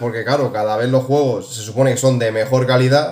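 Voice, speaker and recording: A man speaks with a Spanish accent and ordinary pitch variation, his voice carrying audible room echo over a quiet background. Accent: Peninsular Spanish. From Spain. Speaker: gaming YouTuber. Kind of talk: casual video commentary. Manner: animated. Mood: opinionated, mildly exasperated. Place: home room. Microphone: phone near.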